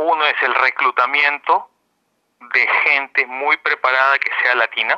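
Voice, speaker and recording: The man's voice has very even loudness and fairly even intonation, in a dry, close sound with no echo. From Peru, Lima. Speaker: bank executive. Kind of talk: radio interview. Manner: halting.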